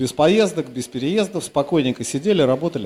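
A man's fairly high voice with a dark, mellow tone and very wide pitch swings. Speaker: radio host. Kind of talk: live concert broadcast with interviews. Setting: club stage.

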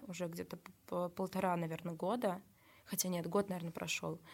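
This is a plain, everyday voice from a woman at a medium pitch. She talks at a moderate pace. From Russia, Nizhny Novgorod region. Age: 20s. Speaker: social media manager and photographer. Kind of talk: casual interview chat.

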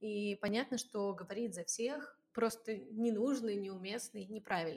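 Speaking at a moderate pace, a woman has an unremarkable speaking voice, fairly high in pitch, with fairly even intonation. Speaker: podcast co-host. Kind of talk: scripted narration; casual chat.

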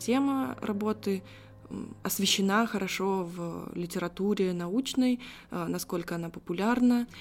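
In a normal speaking voice, a woman talks with ordinary pitch variation. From Russia, Saratov. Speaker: philology graduate. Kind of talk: casual interview.

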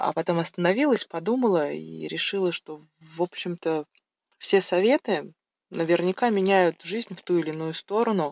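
A woman's plain, everyday voice at a moderate pace, ordinary pitch variation and big swings in loudness, dry and close with no echo, in a very clean recording with a silent background. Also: fairly low pitch for a woman. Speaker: mother of three, medic. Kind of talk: recorded monologue answering questions.

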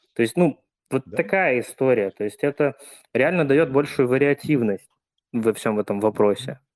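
In a dry, close sound with no echo, a man of medium pitch speaks at a moderate pace with long, frequent pauses. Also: lively intonation. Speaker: frequent participant. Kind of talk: testimony.

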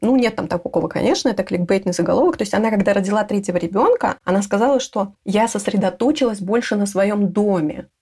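Her pace is very fast. The woman's fairly high voice sounds somewhat breathy. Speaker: home organizer. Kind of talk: interview.

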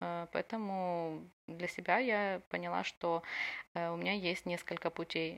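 This is a very clean recording with a silent background. A woman speaks at a fairly low pitch. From Ukraine, Odesa. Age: 20s. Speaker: war refugee telling her story. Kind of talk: personal testimony.

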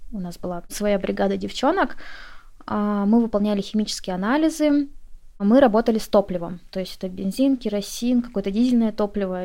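A woman's dark, mellow voice at medium pitch with ordinary pitch variation, on a very clean recording with a silent background. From Russian Far East, Komsomolsk-on-Amur. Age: 20s. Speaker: beauty specialist and business owner. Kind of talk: interview.

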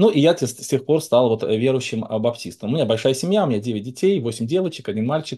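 A man with a dark, mellow tone talks fairly quickly at medium pitch. His intonation is lively, and the background is quiet. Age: 40s. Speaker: Baptist pastor. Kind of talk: debate.

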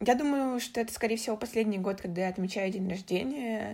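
Somewhat breathy, fairly high female voice of a woman, pitch varying in an ordinary way. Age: 20s. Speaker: journalist and podcast producer. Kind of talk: recorded personal story.

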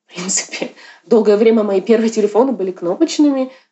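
Here a woman with an unremarkable speaking voice talks at a moderate pace. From Yakutia, Russia. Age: 30s. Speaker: artist and curator. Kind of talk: casual interview.

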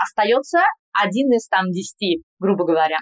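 A woman talks with lively intonation in a slight Spanish accent. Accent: slight Spanish accent in Russian. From Kazan, Russia. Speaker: general practitioner. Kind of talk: casual interview. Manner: careful enunciation.

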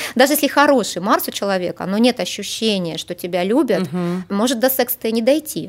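In a plain, everyday voice, a woman with a fairly high pitch speaks at a fairly quick pace with lively intonation and hardly any pauses. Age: 40s. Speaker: astropsychologist. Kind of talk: interview. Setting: studio.

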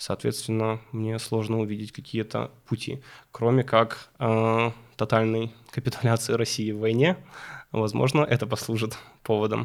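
A man talks at a fairly slow pace with an ordinary speaking voice. His pitch is medium. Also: fairly even intonation. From Ukraine, Kyiv. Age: 20s. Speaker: young professional guest. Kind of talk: podcast interview.

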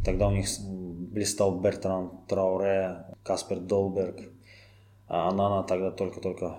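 A man speaks very slowly in a very deep, low, dark, mellow voice with monotone, flat intonation. His loudness stays very even, broken by long, frequent pauses. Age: 30s. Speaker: football fan guest. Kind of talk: podcast interview.

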